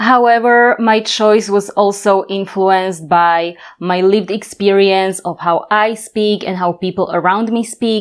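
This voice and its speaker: This woman has a Slovak accent and fairly even intonation, with hardly any pauses. The recording is very clean, the background silent. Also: medium pitch for a woman, fairly slow pace. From Slovakia, Bratislava. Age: 30s. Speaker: language teacher. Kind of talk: tutorial.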